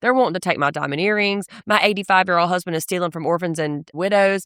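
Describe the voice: In a very clean recording with a silent background, a woman talks at a fast pace, her fairly low pitch carrying a fairly bright, clear, smooth tone. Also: ordinary pitch variation, dry, close sound with no echo.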